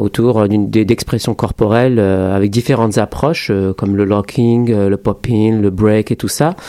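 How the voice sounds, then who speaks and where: A man's fairly low voice with a dark, mellow tone, at a fairly slow pace with fairly even intonation. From France, working-class suburbs, Moroccan family. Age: 30s. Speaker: choreographer. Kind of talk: radio interview. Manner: halting, many repetitions.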